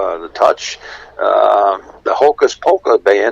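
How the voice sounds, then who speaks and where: A man with an American accent speaks over noticeable background noise. The sound is dry and close with no echo. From Buffalo, New York. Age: 70s. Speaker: polka band musician. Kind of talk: casual chat. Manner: halting.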